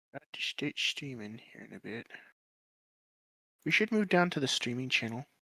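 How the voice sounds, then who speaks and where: Delivery is quiet, at a moderate pace. Long, frequent pauses come throughout. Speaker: gaming streamer. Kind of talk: casual chat.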